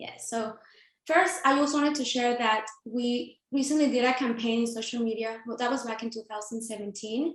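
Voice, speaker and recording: A woman speaks with a Mexican accent at a fairly high pitch. Her pace is moderate and her pitch variation ordinary. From Mexico (Sinaloa). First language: Spanish. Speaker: nonprofit founder and CEO. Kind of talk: panel presentation.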